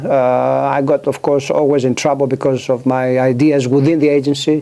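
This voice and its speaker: With a Greek accent, a man speaks at a moderate pace and a fairly high pitch. There is noticeable background noise. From Greece, island of Kefalonia. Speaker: author and former government scientist. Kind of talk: interview. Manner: halting, many fillers.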